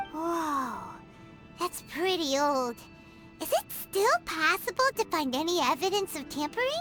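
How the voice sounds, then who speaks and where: An extremely high-pitched, put-on character voice speaks with long, frequent pauses over clear background music. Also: moderate pace. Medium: fan dub. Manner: lively, exclamatory.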